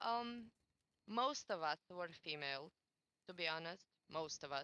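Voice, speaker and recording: A woman with a Romanian accent, bright, sharp tone and lively intonation, dry and close with no echo. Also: fairly low pitch for a woman, fairly slow pace. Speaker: former community admin. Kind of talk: podcast interview testimony. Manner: halting.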